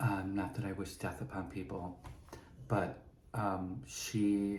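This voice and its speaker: A man's very slow, fairly low-pitched voice with vocal fry and a dark, mellow tone, plus audible room echo. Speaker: podcast host. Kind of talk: personal storytelling monologue. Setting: prop room at a studio.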